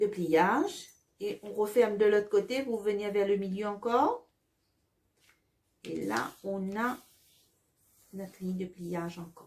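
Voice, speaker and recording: A woman speaks very slowly at a medium pitch, with ordinary pitch variation. Her loudness swings widely, and her pauses are long and frequent. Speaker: Sunday school teacher. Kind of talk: tutorial.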